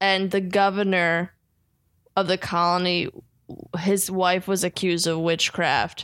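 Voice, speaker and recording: A woman with an American accent speaks at a medium pitch in a monotone, flat intonation at very even loudness, leaving long, frequent pauses, on a very clean recording with a silent background. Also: fairly slow pace. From New Jersey. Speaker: stand-up comedian. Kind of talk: casual chat.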